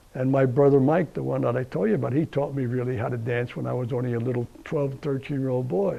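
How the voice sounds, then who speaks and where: In a New Jersey accent, a man speaks at a fairly quick pace with a medium pitch and ordinary pitch variation. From US Northeast (New Jersey, Essex County). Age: 80s+. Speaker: war veteran. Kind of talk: interview. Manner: halting.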